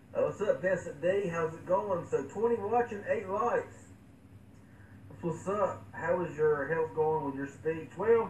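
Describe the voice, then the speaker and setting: Over noticeable background noise, a man with a high voice talks at a fairly slow pace with ordinary pitch variation. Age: 20s. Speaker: tech live streamer. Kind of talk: live stream chat. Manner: halting; repetitive stammering.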